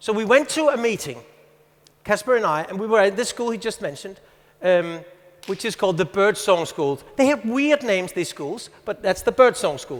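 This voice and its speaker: A man with a Danish accent speaks at a moderate pace in a high pitch with lively intonation. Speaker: teacher and conference speaker. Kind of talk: conference talk.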